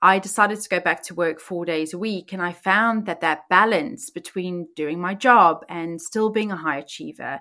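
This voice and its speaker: In a South African accent, a woman with a bright, sharp tone speaks at a medium pitch and a fairly slow pace with ordinary pitch variation, on a very clean recording with a silent background. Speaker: podcast host and life coach. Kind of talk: personal storytelling monologue.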